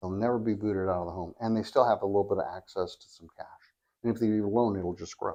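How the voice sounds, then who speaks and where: This man has an American accent and a fairly low voice. He talks at a very fast pace. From California. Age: 60s. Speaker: reverse mortgage specialist. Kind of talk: podcast interview.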